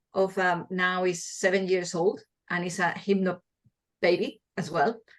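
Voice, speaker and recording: A woman talks at a moderate pace with a Spanish accent. Her pitch sits in the medium range. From Spain, small village. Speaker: midwife and hypnobirthing teacher. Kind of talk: interview. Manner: halting, with repeated words.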